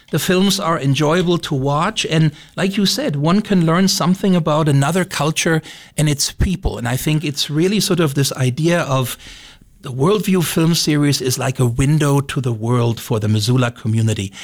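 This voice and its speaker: On a very clean recording with a silent background, a somewhat breathy man speaks at a moderate pace, fairly high in pitch with lively intonation. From Germany. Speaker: arts program director. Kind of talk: radio interview.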